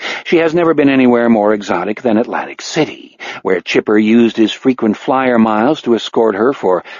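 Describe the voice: The clip features plain reading aloud.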